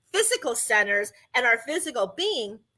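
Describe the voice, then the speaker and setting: At a moderate pace, a woman projects a raised voice with a bright, sharp tone and very wide pitch swings. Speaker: podcast host. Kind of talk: podcast monologue on breathing and chakras.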